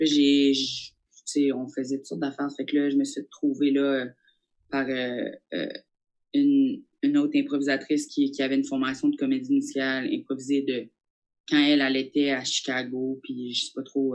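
A woman speaks at a moderate pace. She takes long, frequent pauses. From New Brunswick, Acadia. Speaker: comedian. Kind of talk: casual interview.

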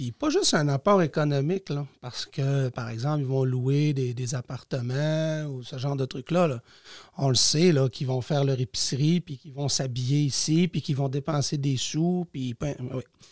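A man with a fairly high pitch speaks at a moderate pace, somewhat breathy and with fairly even intonation, in a dry, close sound with no echo on a very clean recording with a silent background. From Quebec, Lac-Saint-Jean region. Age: 40s. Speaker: teacher and municipal councillor. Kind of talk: casual interview.

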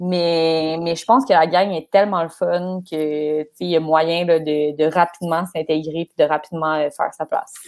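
In an ordinary speaking voice, a woman with a fairly low pitch talks at a moderate pace with hardly any pauses and fairly even intonation. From Quebec, Laval. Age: 20s. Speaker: sports journalist. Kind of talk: casual chat.

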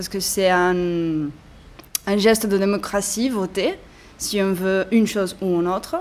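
With long, frequent pauses, a woman speaks at medium pitch in a fairly even intonation. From Catalonia, Barcelona. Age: 30s. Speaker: protester and witness. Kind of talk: testimony. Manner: halting.

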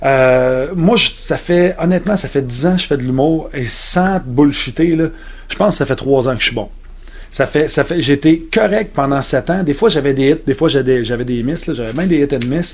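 A man with a Quebec accent, over noticeable background noise. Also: fairly high pitch for a man, ordinary pitch variation, moderate pace. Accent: Québécois French. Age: 40s. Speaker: comedian. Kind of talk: interview.

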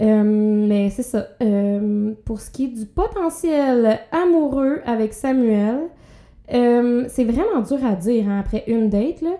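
Speaking very slowly, a woman uses a fairly high voice with a dark, mellow tone and ordinary pitch variation. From Quebec, Abitibi. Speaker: podcast host, comedian. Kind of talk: casual chat.

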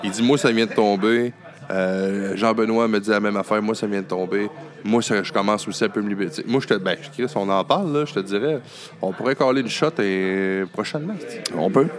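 A man with a Quebec accent speaks in a relaxed tone at a moderate pace. His pitch variation is ordinary, and there is noticeable background noise. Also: fairly low pitch for a man. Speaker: podcast host. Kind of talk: casual chat. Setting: bar interview (intro recorded at home). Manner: relaxed, jokey.

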